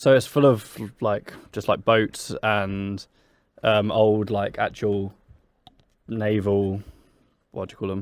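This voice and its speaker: Speaking very slowly with long, frequent pauses, a man with a southern English accent holds a fairly low pitch in a flat monotone. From Brighton, England. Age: 20s. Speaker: podcast co-host. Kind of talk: casual chat. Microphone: too far from the microphone.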